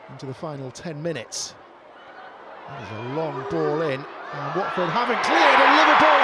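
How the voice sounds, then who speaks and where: The delivery is animated, with lively intonation over noticeable background noise. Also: man, fairly high pitch for a man. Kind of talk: live sports commentary. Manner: fast, animated play-by-play delivery; urgent, excitable at near-misses.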